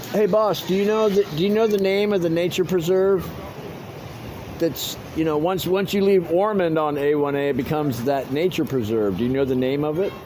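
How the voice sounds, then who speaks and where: A man with an American accent speaks at a moderate pace. Audible room echo and noticeable background noise surround him. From Miami, Florida. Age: 60s. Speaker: vlogger cycling cross country, ex-carnival worker. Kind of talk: casual vlog talk and chat with strangers. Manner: halting, many fillers and repetitions.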